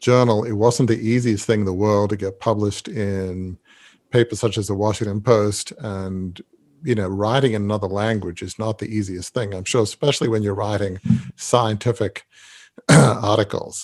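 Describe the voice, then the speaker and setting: With an Australian accent, a man speaks at a moderate pace with fairly even intonation and a fairly low pitch, on a very clean recording with a silent background. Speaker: podcast host. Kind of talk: interview.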